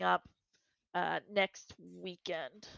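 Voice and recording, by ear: A woman's fairly bright voice with vocal fry and fairly even intonation, in a dry, close sound with no echo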